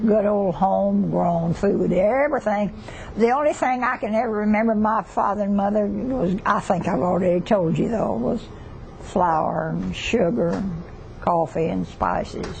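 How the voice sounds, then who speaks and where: Over noticeable background noise, a woman speaks at a medium pitch with lively intonation. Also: moderate pace. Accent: Southern US. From southeastern Oklahoma. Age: 80s+. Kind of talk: interview answer.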